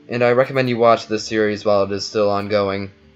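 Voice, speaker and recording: Music plays behind a man speaking at medium pitch and a fairly quick pace. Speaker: YouTube video reviewer. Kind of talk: spoken video review narration.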